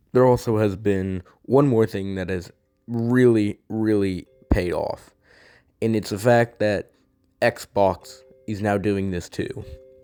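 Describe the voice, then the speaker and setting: Music plays in the background as the speech goes at a very slow pace with fairly even intonation. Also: man, fairly low pitch for a man. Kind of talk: casual gaming commentary.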